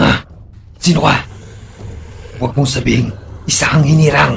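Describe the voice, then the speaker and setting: Putting on a character voice, a man speaks at medium pitch and moderate pace, with clear background noise present. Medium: audio drama. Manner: aggressive, confrontational.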